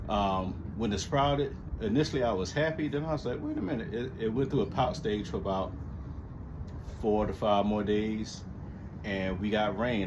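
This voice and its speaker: The voice is somewhat breathy, moving at a moderate pace, with audible room echo. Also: man. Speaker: lawn care hobbyist vlogger. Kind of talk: casual chat. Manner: halting, many fillers.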